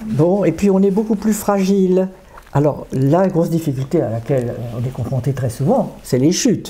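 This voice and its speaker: A woman speaks at a moderate pace in a somewhat breathy, fairly low voice that swings very widely in pitch. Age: 80s+. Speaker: psychotherapist, discussion group leader. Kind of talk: interview.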